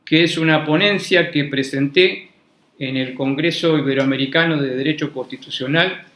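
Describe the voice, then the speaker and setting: Amid audible room echo, a man with a fairly high pitch talks at a fairly slow pace with fairly even intonation. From Argentina. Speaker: law professor. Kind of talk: lecture. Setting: university classroom, also streamed online. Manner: formal; hesitant, repeats words.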